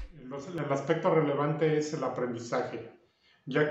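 A man's monotone, flat voice amid audible room echo. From Mexico, Puebla (Cholula). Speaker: carpenter and woodworking youtuber. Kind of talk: interview answers. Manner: hesitant, many fillers. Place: home room. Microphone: camera far.

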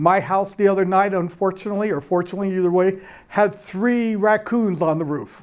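Against a quiet background, a man speaks. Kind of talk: public presentation remarks. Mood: warm, lightly humorous. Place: hall. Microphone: handheld.

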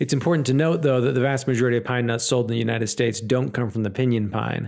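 This man races along at a very fast pace in an American accent. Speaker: woodworker. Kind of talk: casual talk to camera. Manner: upbeat.

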